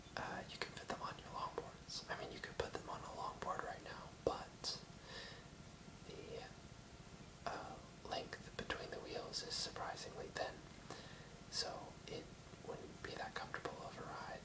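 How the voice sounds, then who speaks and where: A man whispers at a fairly slow pace in a relaxed tone, with long, frequent pauses and noticeable background noise. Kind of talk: ASMR video with casual rambling talk to camera. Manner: soft-spoken, relaxed, rambling.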